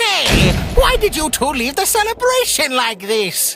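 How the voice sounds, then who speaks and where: A cartoonish character voice with a high pitch and very wide pitch swings. It moves at a fairly slow pace. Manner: loud, excitable.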